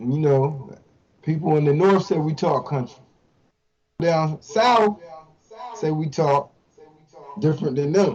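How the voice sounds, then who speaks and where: A man's fairly high voice at a fairly slow pace, with ordinary pitch variation and long, frequent pauses. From Eastern Shore, Maryland (Salisbury). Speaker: hip hop artist. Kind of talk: interview. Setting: live stream.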